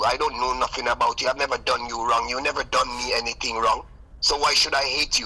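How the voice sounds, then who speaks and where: There is noticeable background noise behind this man. He talks at a fairly quick pace. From Jamaica, St. Elizabeth. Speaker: recording artist and music producer. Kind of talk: interview. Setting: live radio stream interview. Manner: animated.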